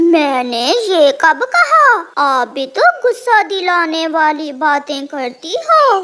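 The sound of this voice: A cartoonish character voice pitched extremely high. It moves at a very slow pace with hardly any pauses.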